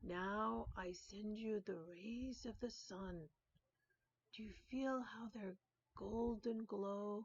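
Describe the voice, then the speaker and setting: Someone talks in a put-on character voice at a very slow pace. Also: woman, medium pitch for a woman. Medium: read story. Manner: gentle, unhurried.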